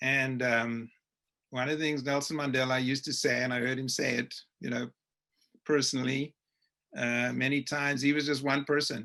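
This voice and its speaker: With a South African accent, a man talks at a moderate pace, pausing often and at length. His tone is bright and sharp, his pitch medium, and his intonation flat and monotone. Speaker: webinar moderator, journalist. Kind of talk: panel webinar discussion.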